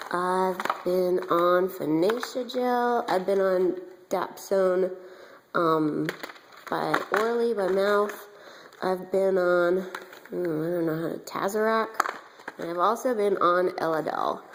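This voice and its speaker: Against noticeable background noise, a woman speaks very slowly with long, frequent pauses. Her medium pitch holds a fairly even intonation. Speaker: beauty vlogger. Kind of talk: personal testimony vlog. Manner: hesitant, many fillers.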